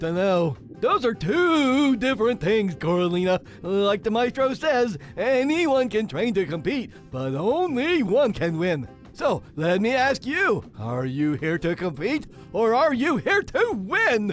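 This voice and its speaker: Clear music plays in the background as a man does a put-on character voice at a high pitch. He speaks at a fairly slow pace with very wide pitch swings. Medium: audio drama. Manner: stammering, questioning.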